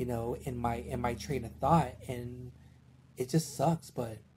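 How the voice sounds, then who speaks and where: An American-accented man at a fairly slow pace, medium-pitched, with a dark, mellow tone and vocal fry. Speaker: podcaster. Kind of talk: casual chat.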